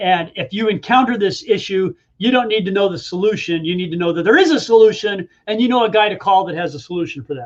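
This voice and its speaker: A very fast pace with hardly any pauses. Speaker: estate planning attorney. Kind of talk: webinar presentation.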